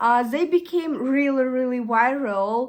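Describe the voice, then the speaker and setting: With a Russian accent, a woman speaks at a fairly slow pace in a high voice with ordinary pitch variation. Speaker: vlogger. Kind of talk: casual chat. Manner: halting.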